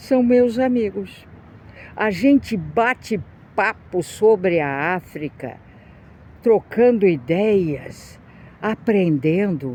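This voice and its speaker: Pausing long and often, a woman speaks at a very slow pace in a medium pitch with a dark, mellow tone and very wide pitch swings. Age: 60s. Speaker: video blogger. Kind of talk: opinion monologue.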